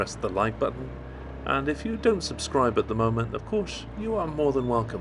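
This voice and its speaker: A man with a British accent and lively intonation. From Britain. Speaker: motorcycle vlogger. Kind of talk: motovlog commentary. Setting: riding a motorbike outdoors. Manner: halting with fillers.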